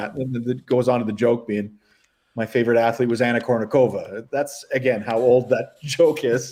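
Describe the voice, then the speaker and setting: In a normal speaking voice with a Canadian accent, a man talks at a fairly quick pace, his medium pitch held in fairly even intonation. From Northern Ontario, Canada. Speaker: stand-up comedian. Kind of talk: interview answer. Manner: casual.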